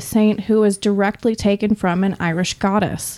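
A woman speaks with a normal speaking voice, pitched fairly high. Her pace is moderate. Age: young. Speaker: modern pagan practitioner in alcohol recovery. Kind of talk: casual chat.

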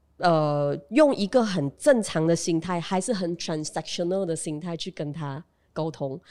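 Her voice sits fairly low for a woman, dark and mellow in tone, moving at a fairly slow pace. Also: ordinary pitch variation. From Malaysia, Pahang (Bentong). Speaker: radio host and comedian. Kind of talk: casual chat.

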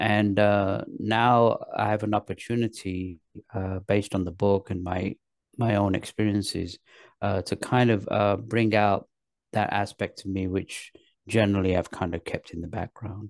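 A man with an English accent speaks fairly slowly at a fairly low pitch, his intonation flat and monotone. The sound is dry and close with no echo, against a quiet background. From England. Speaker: actor and spiritual author. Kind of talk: interview.

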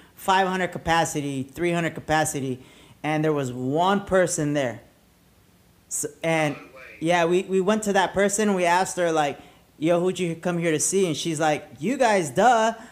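A man with a high-pitched voice speaks at a fairly slow pace, with ordinary pitch variation. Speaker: podcast host and DJ. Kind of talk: casual chat. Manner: animated.

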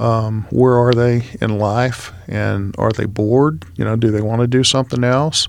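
This man has a normal speaking voice at a medium pitch, with ordinary pitch variation and a moderate pace. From Texas, Houston. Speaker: business broker. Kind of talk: interview.

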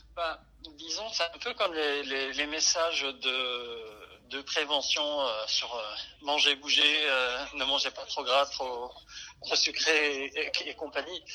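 Over noticeable background noise, a man speaks at a very slow pace in a fairly high pitch. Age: 30s. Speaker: salesman and gamer. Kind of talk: testimony. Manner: halting, many fillers and repetitions.

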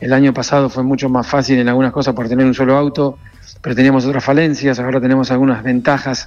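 The man's medium-pitched voice rushes along at a very fast pace. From Argentina, Corrientes. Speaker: racing team owner. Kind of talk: radio interview. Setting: phone call.

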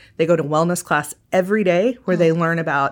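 A woman with an American accent has a normal speaking voice and fairly low pitch, with fairly even intonation. The recording is very clean, with a silent background. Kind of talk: interview conversation.

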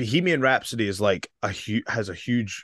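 Recorded with a dry, close sound with no echo and a quiet background, a man speaks at a moderate pace in a Scottish accent. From Scotland. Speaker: professional wrestler. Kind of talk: casual chat.

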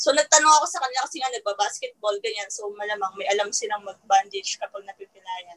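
A woman's fairly high voice, very fast and with lively intonation, big swings in loudness, and a dry, close sound with no echo. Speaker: newlywed guest. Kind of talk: casual chat.

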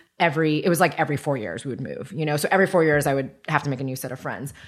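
This woman has a very deep, low pitch, ordinary pitch variation, and an American accent. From US, raised by grandparents in Taiwan till five. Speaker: podcast host. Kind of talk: casual chat.

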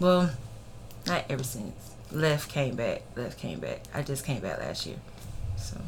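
A woman with a Southern US accent speaks with long, frequent pauses. Her voice echoes audibly in the room. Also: fairly slow pace. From Alabama (Grove Hill, Clarke County), military brat. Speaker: personal chef and makeup artist. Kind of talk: casual interview chat.

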